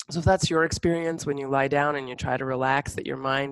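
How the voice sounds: Vocal fry colors this fairly quick delivery, which has little pitch movement and a dry, close sound with no echo. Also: woman.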